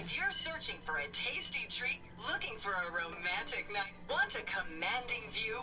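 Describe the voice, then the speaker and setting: A put-on character voice at a moderate pace over loud background noise. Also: female-sounding voice. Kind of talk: old-fashioned hostess cheer. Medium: game stream. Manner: perky, salesy.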